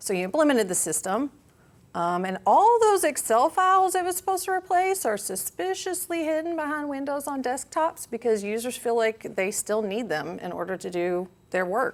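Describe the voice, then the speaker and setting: A woman speaks at a moderate pace with an American accent. Her high voice moves in very wide pitch swings. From Kentucky, Louisville. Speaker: business consultant and project manager. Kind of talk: conference talk. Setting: stage with audience.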